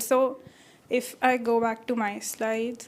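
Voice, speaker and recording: A woman talks with a high pitch and a monotone, flat intonation. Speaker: tech speaker, public speaking trainer. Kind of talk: Q&A after conference talk. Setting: stage with audience, live streamed. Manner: casual, code-switching Hindi and English.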